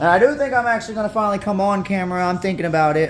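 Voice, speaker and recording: A man talks at a very fast pace with a Southern US accent. Music plays in the background. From North Carolina. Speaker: tarantula keeper. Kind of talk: tutorial. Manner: casual, halting.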